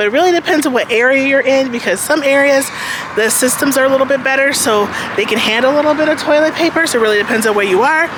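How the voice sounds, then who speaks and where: A woman with an American accent speaks very fast in a high voice at a very even volume, with noticeable background noise behind her. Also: ordinary pitch variation. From United States. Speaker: lifestyle vlogger. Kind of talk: vlog, casual talk to camera. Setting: outdoors, walking on the street. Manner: casual, filler-heavy (um, like).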